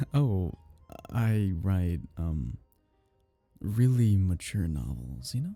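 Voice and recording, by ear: Putting on a character voice, a man uses a low pitch, a dark, mellow tone, vocal fry and big pitch swings at a very slow pace, with faint music in the background.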